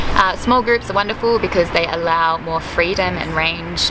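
Loud background noise surrounds a woman who speaks at a moderate pace. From Australia. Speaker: tour customer giving testimonial. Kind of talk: customer testimonial interview answer. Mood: calm, positive.

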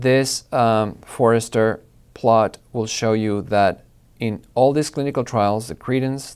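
A man talks at a fairly slow pace with fairly even intonation over a quiet background. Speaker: presenter. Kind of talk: lecture. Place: studio. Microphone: lapel.

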